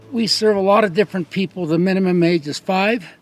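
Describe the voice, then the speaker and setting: Over music in the background, a man with an American accent talks at a moderate pace in a high voice with fairly even intonation. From Eastern Sierra, California. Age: 70s. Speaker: pack station owner. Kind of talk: casual interview.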